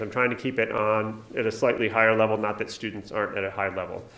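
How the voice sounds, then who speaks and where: A man with an American accent at a very fast pace. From New York. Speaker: nursing professor. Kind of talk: conference talk.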